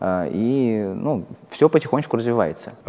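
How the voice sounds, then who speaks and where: A man's dark, mellow tone. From Russia, Kursk. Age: 20s. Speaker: investor. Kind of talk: interview. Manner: hesitant with fillers.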